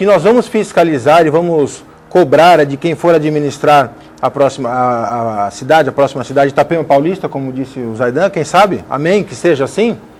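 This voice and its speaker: Using a normal speaking voice, a man with fairly high pitch and lively intonation talks at a moderate pace. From Brazil, Guarujá area. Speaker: lawyer and emancipation activist. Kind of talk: TV debate. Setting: TV studio.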